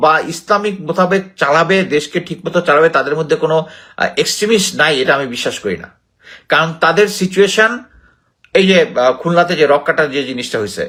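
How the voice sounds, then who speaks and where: A man's high-pitched, bright, sharp voice with ordinary pitch variation, in a very clean recording with a silent background. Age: 50s. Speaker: retired army officer and political commentator. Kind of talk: solo commentary monologue. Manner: halting, with frequent pauses.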